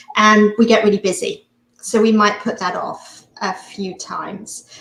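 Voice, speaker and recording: A woman speaks at a fairly slow pace with a non-native accent. Her intonation stays fairly even. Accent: foreign accent, noticeable. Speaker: hypnotist and mindset coach. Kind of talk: interview. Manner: halting, many fillers.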